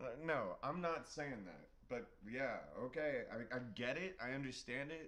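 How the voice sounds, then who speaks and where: Fairly high-pitched for a man, a bright, sharp voice with a Californian accent, at a fairly slow pace, with audible room echo. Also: ordinary pitch variation. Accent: California. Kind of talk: casual chat.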